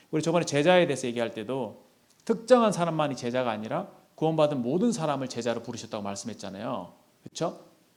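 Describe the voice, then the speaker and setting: Talking at a very fast pace, a man with a fairly high pitch swings very widely up and down. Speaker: youth group lay preacher. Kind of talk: sermon.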